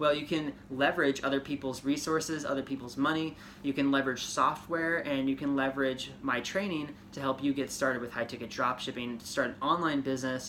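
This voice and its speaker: A man with an American accent and a fairly high pitch, at a fairly quick pace with hardly any pauses and fairly even intonation, over noticeable background noise. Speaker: podcast host and ecommerce coach. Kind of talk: casual tutorial podcast. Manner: fast.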